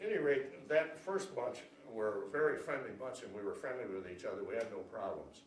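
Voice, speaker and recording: A man with an American accent talks at a fairly quick pace, with audible echo in the room. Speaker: war veteran. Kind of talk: interview. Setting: school. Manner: halting.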